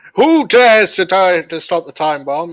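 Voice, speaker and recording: A man's put-on character voice, pitched high for a man. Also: moderate pace. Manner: spooky, menacing.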